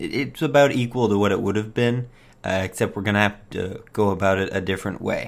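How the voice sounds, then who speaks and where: A man's voice, with ordinary pitch variation, is captured in a very clean recording over a silent background. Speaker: gaming video creator. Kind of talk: let's play commentary. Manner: casual, hesitant with many fillers.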